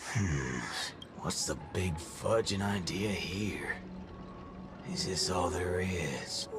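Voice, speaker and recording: Putting on a character voice with a very deep, low pitch, a man speaks very slowly over loud background noise. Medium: game stream. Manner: gruff, folksy drawl.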